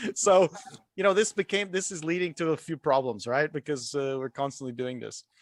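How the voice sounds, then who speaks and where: With a dry, close sound and no echo, a man talks at a fairly quick pace, his pitch fairly high and his intonation lively. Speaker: guest speaker on a 3D design community show. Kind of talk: casual panel discussion. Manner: loud.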